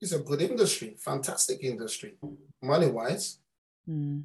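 The speaker has a London accent. Their intonation is lively and the pace is moderate. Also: man. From London, Islington. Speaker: football parent. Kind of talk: interview storytelling.

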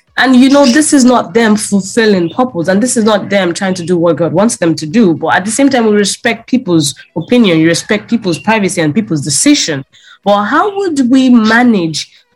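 Somewhat breathy, animated and enthusiastic delivery at a fairly quick pace, with lively intonation. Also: woman, medium pitch for a woman. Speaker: podcast host. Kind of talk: interview, upbeat podcast hosting. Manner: animated, enthusiastic.

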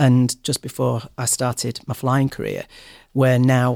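Recorded very cleanly against a silent background, a man at medium pitch talks with a Mancunian accent in a dry, close sound with no echo. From Manchester, England. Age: 40s. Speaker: airline cabin crew. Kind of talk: interview.

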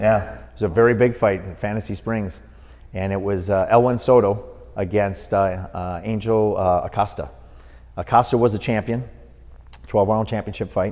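This man has an unremarkable speaking voice, fairly low in pitch, with fairly even intonation, a moderate pace and big swings in loudness. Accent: American. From Milwaukee, Wisconsin. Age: 50s. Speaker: boxing referee. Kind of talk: casual interview.

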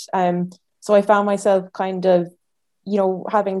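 The voice has a dark, mellow tone and monotone, flat intonation, with an Irish accent over a quiet background. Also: woman. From Ireland. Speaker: speech therapy student. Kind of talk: interview.

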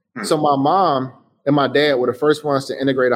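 The speaker is male. His voice is pitched in the medium range. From Chicago, US. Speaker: designer and entrepreneur. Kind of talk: interview.

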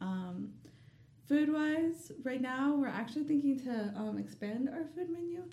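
A woman with an American accent talks at a fairly slow pace in a high voice with lively intonation, and audible room echo surrounds her. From US South, Dalton, Georgia. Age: young. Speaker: small business owner. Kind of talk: interview.

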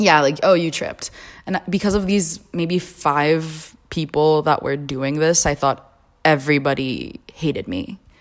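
A very deep, low-pitched woman's voice is heard in a very clean recording with a silent background. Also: ordinary pitch variation, fairly slow pace. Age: 20s. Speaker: podcast guest. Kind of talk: personal testimony.

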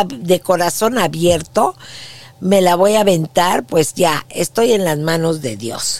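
This woman has a fairly low pitch. Her intonation is lively. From Mexico City. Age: 60s. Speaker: podcast host, former TV news anchor. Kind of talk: personal testimony monologue.

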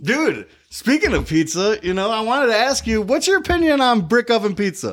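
In a Michigan accent, a man with an extremely high pitch talks at a fairly quick pace with very wide pitch swings. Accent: Midwestern American (Michigan). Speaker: podcast co-host, comedian. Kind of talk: casual chat.

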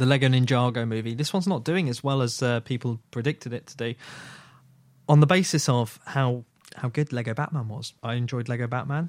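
A man with a British accent at medium pitch and a fairly quick pace, on a very clean recording with a silent background and a dry, close sound with no echo. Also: ordinary pitch variation. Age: 30s. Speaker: film podcast host. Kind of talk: casual chat. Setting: studio.

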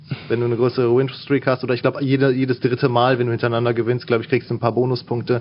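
Over noticeable background noise, a man talks at a very fast pace. His medium-pitched voice stays monotone and flat. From Lower Rhine, western Germany (Mönchengladbach area). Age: 20s. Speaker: gamer, fighting game player. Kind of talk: casual interview chat.

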